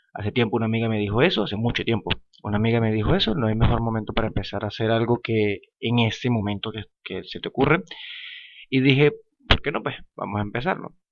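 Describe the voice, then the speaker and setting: Speaking very fast, a man uses a medium pitch. His pitch varies in an ordinary way. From Venezuela, Falcón. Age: 20s. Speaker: podcaster, lawyer. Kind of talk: casual monologue podcast. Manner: hesitant, many fillers.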